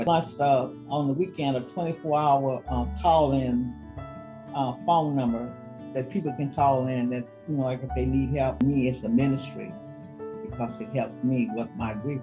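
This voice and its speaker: A woman with a very deep, low pitch speaks at a moderate pace, her pitch swinging very widely. Music plays in the background. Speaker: gun violence prevention advocate. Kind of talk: interview answer.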